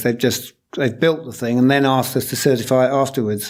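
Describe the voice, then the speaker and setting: A man speaks with a British accent at a fairly quick pace. His pitch is fairly high. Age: 60s. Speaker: low energy building consultant. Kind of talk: interview. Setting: office.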